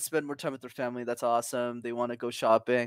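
On a very clean recording with a silent background, a man speaks at a very fast pace. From Montreal, Canada. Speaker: communication coach and founder. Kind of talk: casual interview chat. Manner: animated, confident, motivational.

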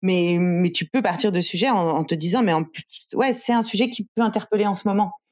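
Speaking with an unremarkable speaking voice, a woman moves at a fairly quick pace and uses ordinary pitch variation. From Paris, France. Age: 30s. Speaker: journalist and author. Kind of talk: interview.

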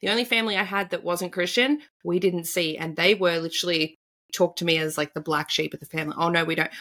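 Fairly low in pitch, a woman with an Australian accent talks at a very fast pace. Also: ordinary pitch variation. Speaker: tarot reader and spiritual coach. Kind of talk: casual interview conversation.

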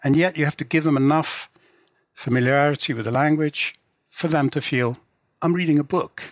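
In an English accent, the speaker goes at a moderate pace with long, frequent pauses and fairly even intonation, the sound dry and close with no echo. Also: man, fairly high pitch for a man. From England. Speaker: literary translator and novelist. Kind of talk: interview. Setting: remote call.

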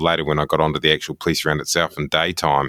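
A man with a New Zealand accent, his voice very deep and low, at a very fast pace with monotone, flat intonation. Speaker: TV journalist. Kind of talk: casual interview. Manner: halting, repeats words.

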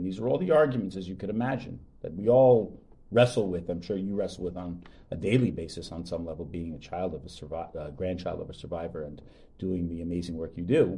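A man with a very deep, low pitch talks at a fairly quick pace with lively intonation. His tone is dark and mellow and somewhat breathy. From Long Island, New York. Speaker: rabbi and podcast host. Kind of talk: casual chat.

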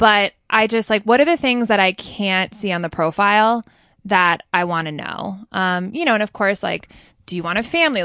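Against a quiet background, a woman with an American accent talks at a fairly quick pace in a bright, sharp tone. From New Jersey. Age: 30s. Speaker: elementary school teacher and yoga teacher. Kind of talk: casual chat.

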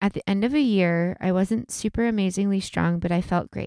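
A woman speaks at a moderate pace in a normal speaking voice with ordinary pitch variation, the recording very clean, dry and close, with a silent background and no echo. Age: 30s. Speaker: podcast co-host. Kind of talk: casual chat; reading aloud.

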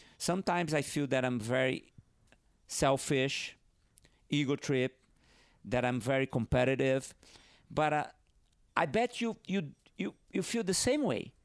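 Speaking with a Brazilian accent, a man with a fairly high pitch uses lively intonation and very even loudness at a fairly slow pace, leaving long, frequent pauses in a very clean recording with a silent background. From northeast Brazil. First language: Portuguese. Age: 50s. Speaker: professional big wave surfer. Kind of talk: casual interview chat. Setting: at host's home over wine. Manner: halting, frequent repetitions.

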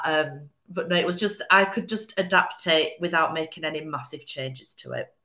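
This woman's voice sits at a medium pitch. She speaks with a Yorkshire accent. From West Yorkshire, England. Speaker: interior designer. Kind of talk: casual interview chat.

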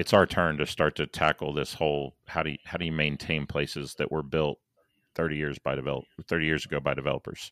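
In a very clean recording with a silent background and a dry, close sound with no echo, a man talks at a very fast pace in a very deep, low pitch with monotone, flat intonation and vocal fry. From born in St. Louis, Missouri; now in Dallas. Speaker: civil engineer and planning consultant. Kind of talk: casual interview conversation.

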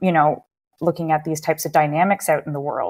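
In an unremarkable speaking voice, a woman with a Canadian accent speaks at a fairly quick pace and fairly low pitch on a very clean recording with a silent background. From Canada, Waterloo Ontario. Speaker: psychologist. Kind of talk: interview.

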